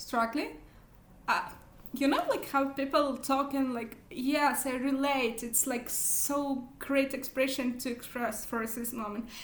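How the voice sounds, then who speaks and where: Very slowly and in a monotone, flat intonation, a woman with a non-native accent speaks at a high pitch, with audible room echo. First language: not English. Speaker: book vlogger. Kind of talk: casual vlog monologue. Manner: halting, many fillers.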